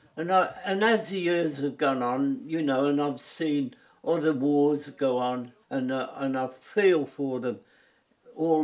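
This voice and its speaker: Speaking with a Birmingham accent, a man talks at a very slow pace in a fairly high pitch with ordinary pitch variation. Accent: Birmingham (Brummie) English. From English West Midlands, Birmingham. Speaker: war veteran. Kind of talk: personal testimony. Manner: halting, with frequent repetitions.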